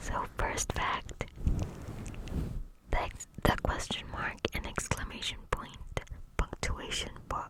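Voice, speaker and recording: The voice whispers at a very slow pace, with long, frequent pauses. Noticeable background noise runs underneath. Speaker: ASMR creator. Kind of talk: ASMR fact reading. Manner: whispered.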